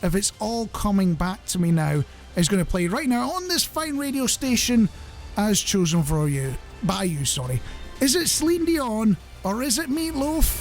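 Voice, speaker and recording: Music plays in the background. A man speaks at a high pitch with very wide pitch swings. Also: moderate pace. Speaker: radio show host. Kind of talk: radio presenter chat. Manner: chatty, humorous, self-deprecating.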